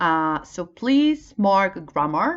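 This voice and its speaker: At a very slow pace, a woman with a Polish accent speaks at a medium pitch, her voice making very wide pitch swings. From Poland. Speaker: English teacher. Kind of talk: tutorial. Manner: halting, many fillers.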